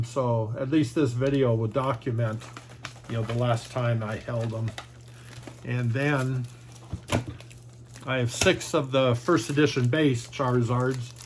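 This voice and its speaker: The speaker talks at a fairly slow pace in a monotone, flat intonation, with noticeable background noise. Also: man. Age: 60s. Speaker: trading card collector and YouTuber. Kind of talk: casual video monologue showing cards. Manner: halting, many fillers.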